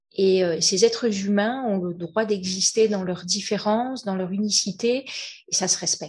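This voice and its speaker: With a dark, mellow tone, a woman at medium pitch speaks at a fairly slow pace and with fairly even intonation. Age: 50s. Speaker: entrepreneur. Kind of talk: testimony. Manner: halting.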